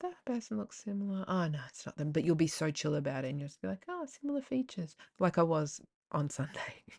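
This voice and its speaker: A woman with an Australian accent talks at a fairly quick pace over a quiet background. Her voice is very deep and low, with a dark, mellow tone. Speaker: podcast host. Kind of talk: casual monologue. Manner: animated.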